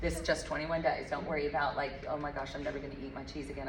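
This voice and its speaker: The speech runs at a very fast pace. Audible room echo and noticeable background noise fill the recording. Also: woman. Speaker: health coach. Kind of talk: group workshop. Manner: animated.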